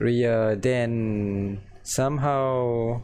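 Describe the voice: The pace is very slow, with fairly even intonation. The tone is slightly mellow. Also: man, medium pitch for a man.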